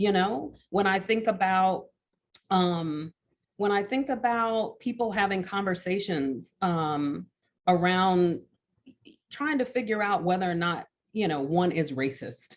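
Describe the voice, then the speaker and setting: A woman with an American accent at a medium pitch, fairly slow, with lively intonation. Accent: Alabama accent, comes out now and then. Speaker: art educator, professor. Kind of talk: panel discussion talk.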